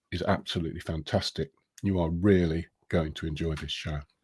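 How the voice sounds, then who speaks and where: A man with a British accent, in a dry, close sound with no echo. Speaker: live stream interview host. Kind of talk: casual interview. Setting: Facebook live stream.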